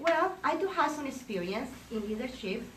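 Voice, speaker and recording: A woman with a Colombian accent talks at a moderate pace in a high pitch with very wide pitch swings, over noticeable background noise and audible room echo. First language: Spanish. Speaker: realtor, association election candidate. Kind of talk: campaign speech. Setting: breakfast meeting with audience.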